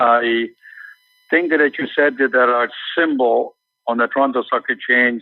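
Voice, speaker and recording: Talking at a moderate pace, this man has a non-native accent. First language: not English. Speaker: mining company executive. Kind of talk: interview. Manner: halting, many repetitions.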